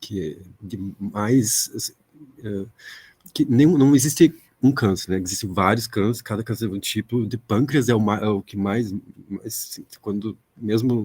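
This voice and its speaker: A soft-spoken man talks at a moderate pace with a fairly low pitch and ordinary pitch variation. He leaves long, frequent pauses. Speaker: audience member asking a question. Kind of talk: academic Q&A question. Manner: halting. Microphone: speaking without microphone, echo issues.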